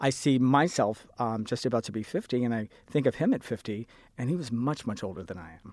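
A man with an ordinary speaking voice talks at a fairly quick pace and a medium pitch, his intonation lively. His loudness swings widely, and the recording is very clean with a silent background. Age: 40s. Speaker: sign language interpreter. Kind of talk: panel discussion.

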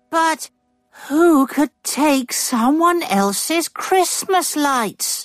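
The speaker uses a put-on character voice. The delivery is very slow. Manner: earnest, disbelieving.

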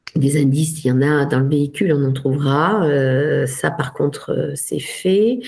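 At a fairly slow pace and with hardly any pauses, a woman with a very deep, low voice keeps her loudness very even and her pitch variation ordinary, over noticeable background noise and audible room echo. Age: 50s. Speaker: lawyer. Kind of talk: interview. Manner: halting, frequent hesitations.

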